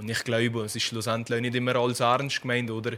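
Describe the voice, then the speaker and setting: Intonation stays monotone and flat. A man talks at a moderate pace with a medium pitch. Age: 20s. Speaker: police trainee. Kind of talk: radio interview. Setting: studio.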